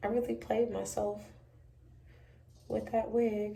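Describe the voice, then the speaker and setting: Audible room echo surrounds a woman's fairly high voice, which has a dark, mellow tone. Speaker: beauty vlogger. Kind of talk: tutorial. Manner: casual, chatty.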